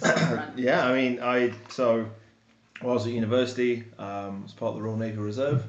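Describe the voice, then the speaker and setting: Audible room echo and noticeable background noise accompany a man speaking at a moderate pace in a medium pitch with fairly even intonation. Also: big swings in loudness. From England. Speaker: camp staff, former naval reservist. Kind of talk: casual chat.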